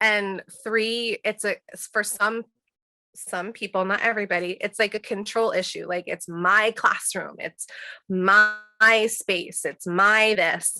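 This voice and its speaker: A woman at a fairly high pitch and fairly slow pace, bright, sharp tone, fairly even intonation and big swings in loudness. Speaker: teacher and workshop presenter. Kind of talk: webinar presentation. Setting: video call. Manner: halting, stuttering.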